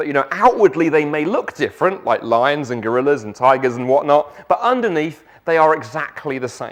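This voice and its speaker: With a South London accent, a man talks at a fairly quick pace in a fairly high pitch, his intonation lively and hardly any pauses between words. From South London, England. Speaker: guest preacher. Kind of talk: sermon.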